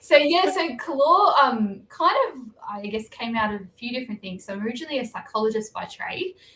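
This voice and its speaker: In an Australian accent, the speaker moves at a fairly quick pace with very wide pitch swings and big swings in loudness over noticeable background noise. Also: woman, high pitch for a woman. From Australia, Blue Mountains near Sydney. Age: 30s. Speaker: novelist. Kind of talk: interview. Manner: hesitant, many fillers.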